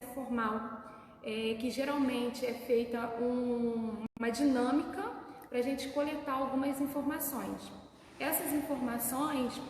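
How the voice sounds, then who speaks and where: A soft-spoken woman talks at a high pitch and fairly slow pace with ordinary pitch variation, amid noticeable background noise and audible room echo. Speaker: deliverance ministry worker. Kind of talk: church talk on rejection. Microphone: too quiet.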